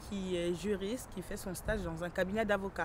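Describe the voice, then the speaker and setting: A woman at a medium pitch and a moderate pace. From France (arrived at eight). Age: 20s. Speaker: young immigrant mother, visitor at detention centre. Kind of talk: documentary interview.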